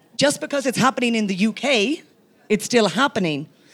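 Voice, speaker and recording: In an Irish accent, the speaker talks at a fairly quick pace with lively intonation on a very clean recording with a silent background. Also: woman. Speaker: senator. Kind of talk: onstage interview.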